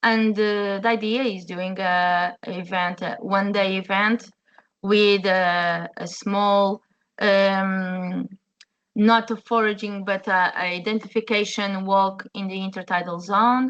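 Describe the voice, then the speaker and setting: A woman talks at a very slow pace in a Portuguese accent. Her pitch is medium and her intonation fairly even. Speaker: chef. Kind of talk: webinar presentation. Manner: halting, many fillers.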